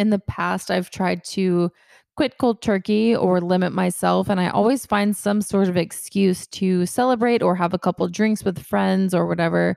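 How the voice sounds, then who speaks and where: An unremarkable speaking voice with an American accent moves at a moderate pace with fairly even intonation, in a dry, close sound with no echo. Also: woman, medium pitch for a woman. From Georgia, US South (Kennesaw, near Atlanta). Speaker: podcast host. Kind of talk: casual solo chat.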